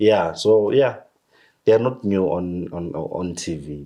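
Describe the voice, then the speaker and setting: Speaking fairly slowly, a man has a dark, mellow tone. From South Africa, Mpumalanga. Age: young. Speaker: theatre director. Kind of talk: interview. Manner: halting.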